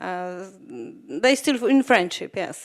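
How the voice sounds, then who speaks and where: A woman with a Polish accent is heard on a very clean recording with a silent background. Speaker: documentary film director. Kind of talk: post-screening Q&A interview. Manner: halting, many fillers.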